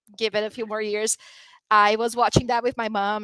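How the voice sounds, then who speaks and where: A woman with a Portuguese accent speaks at a moderate pace. Her tone is bright and sharp, with a dry, close sound and no echo. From Brazil. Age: 30s. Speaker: drag performer. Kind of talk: interview conversation.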